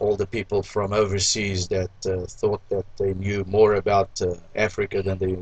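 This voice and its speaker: A man talks at a moderate pace in a fairly low, somewhat breathy voice. His intonation is monotone and flat. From Mozambique. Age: 60s. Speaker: restaurant owner. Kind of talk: interview.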